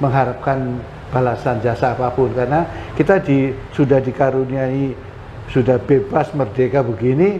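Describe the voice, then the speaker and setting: Against noticeable background noise, a man speaks with very even loudness and ordinary pitch variation. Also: medium pitch for a man, moderate pace. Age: 70s. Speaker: retired police general. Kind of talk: interview. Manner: halting, with fillers.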